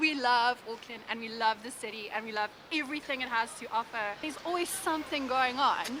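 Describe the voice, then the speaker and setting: With a South African accent, a woman talks at a fairly quick pace in a high pitch with ordinary pitch variation and big swings in loudness, over noticeable background noise. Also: hardly any pauses. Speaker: vlogger. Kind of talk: Q&A vlog.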